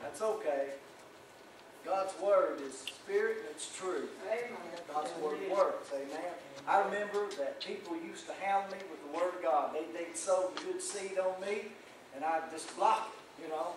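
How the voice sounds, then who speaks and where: Amid noticeable background noise and audible room echo, a man talks at a fairly slow pace in a high pitch with ordinary pitch variation. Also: big swings in loudness. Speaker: pastor. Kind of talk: sermon. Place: church.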